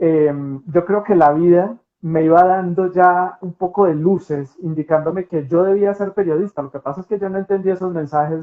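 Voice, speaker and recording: This man has a high-pitched voice, fairly even intonation and a moderate speaking pace. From Colombia, Pereira. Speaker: TV news anchor. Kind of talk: interview.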